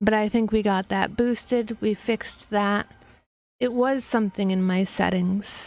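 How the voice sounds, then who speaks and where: Soft-spoken and at medium pitch, a woman speaks at a fairly slow pace with very even loudness and fairly even intonation on a very clean recording with a silent background. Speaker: livestreamer. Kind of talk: casual livestream chat. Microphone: quiet mic level, boosted.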